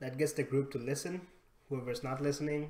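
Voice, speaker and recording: A non-native accent shapes this voice. The one talking is a man. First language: not English. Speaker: gaming squad leader. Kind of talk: debrief conversation. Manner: halting.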